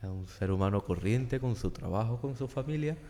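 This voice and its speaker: A man's medium-pitched voice, dark and mellow in tone, with lively intonation at a fairly quick pace. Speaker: podcast host. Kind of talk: interview. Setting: church.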